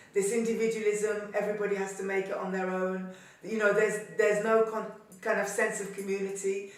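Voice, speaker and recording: There is audible room echo and noticeable background noise. A woman speaks at a medium pitch and moderate pace. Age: 70s. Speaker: activist and former journal editor. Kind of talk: interview testimony.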